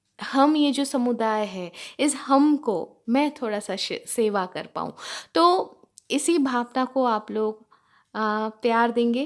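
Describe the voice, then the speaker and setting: A woman's high-pitched voice with a Bengali accent and ordinary pitch variation, in a very clean recording with a silent background. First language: Bengali (speaking Hindi). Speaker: spiritual teacher reading scripture. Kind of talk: scripture reading and explanation. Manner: halting, with fillers.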